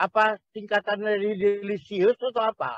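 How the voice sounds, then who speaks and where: Speaking at a fairly quick pace with a Medan accent, a man with a high-pitched voice is heard in a dry sound with no echo against a quiet background. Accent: Medan Indonesian with Mandailing tinge. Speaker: panelist. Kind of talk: panel discussion. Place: home room. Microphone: video call.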